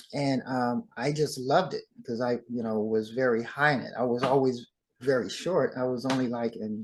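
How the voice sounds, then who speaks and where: In an American accent, a man uses an ordinary speaking voice at medium pitch, moving at a moderate pace with fairly even intonation. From Southern California. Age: 60s. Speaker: dancer and actor. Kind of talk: interview.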